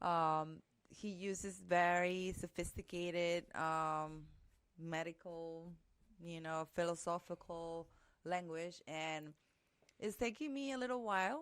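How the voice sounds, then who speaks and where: On a very clean recording with a silent background, a woman with a Spanish accent speaks very slowly at a fairly low pitch, with ordinary pitch variation. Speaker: podcast co-host. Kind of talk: casual chat. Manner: hesitant, many fillers.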